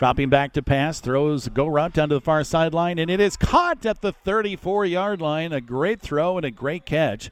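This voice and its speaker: In a plain, everyday voice, the speaker goes at a moderate pace with ordinary pitch variation and hardly any pauses. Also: man, fairly high pitch for a man. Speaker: radio play-by-play announcer. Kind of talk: live sports commentary. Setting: stadium broadcast, live radio.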